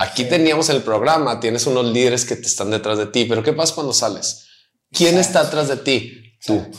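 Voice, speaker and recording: At a fairly quick pace and with ordinary pitch variation comes an ordinary speaking voice. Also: man, medium pitch for a man. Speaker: pastor. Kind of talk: interview conversation.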